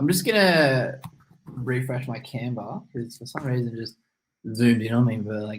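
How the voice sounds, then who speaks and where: This man's medium-pitched voice is somewhat breathy. He uses ordinary pitch variation. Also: moderate pace, big swings in loudness. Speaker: marketing agency owner. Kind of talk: webinar training presentation.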